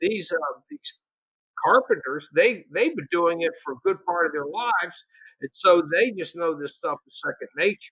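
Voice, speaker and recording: Against a quiet background, a man talks at a moderate pace in a dry sound with no echo. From Pennsylvania and Tennessee (Chattanooga area); Pennsylvania; Tennessee. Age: 60s. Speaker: economics professor. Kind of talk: casual interview. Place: home room. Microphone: webcam.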